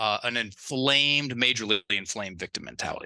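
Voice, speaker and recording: Recorded dry and close with no echo against a quiet background, a man with a slight Southern US accent speaks at medium pitch in a bright, sharp tone with ordinary pitch variation. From US South. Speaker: life coach. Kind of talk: interview. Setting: remote call.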